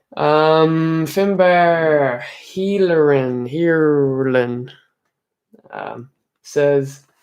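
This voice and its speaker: The delivery is very slow, with ordinary pitch variation. Room echo can be heard. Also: man, fairly high pitch for a man. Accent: Irish. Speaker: Irish music streamer. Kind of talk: live stream chat reading comments. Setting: home live stream. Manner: soft-spoken.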